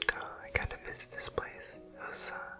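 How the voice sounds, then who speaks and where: A man whispers at a fairly slow pace. Music plays in the background. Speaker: dance teacher; ASMR creator. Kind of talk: ASMR travel vlog narration. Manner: soft-spoken.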